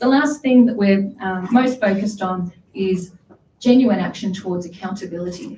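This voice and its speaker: With an Australian accent, a woman talks at a moderate pace in a medium pitch with ordinary pitch variation. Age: 30s. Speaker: council candidate. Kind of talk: candidate forum speech.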